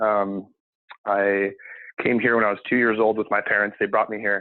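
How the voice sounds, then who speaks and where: The voice belongs to a man. He talks with a West Coast accent. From Seattle, US Pacific Northwest. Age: 20s. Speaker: cleaning business owner. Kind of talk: podcast interview. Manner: many fillers, hesitant.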